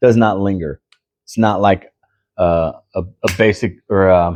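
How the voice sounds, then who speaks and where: A man's very deep, low voice, fairly even in intonation, with a dark, mellow tone and a dry, close sound free of echo over a quiet background. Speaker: pipe smoking vlogger. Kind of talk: casual monologue review. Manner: sluggish, slightly slurred; hesitant, many fillers.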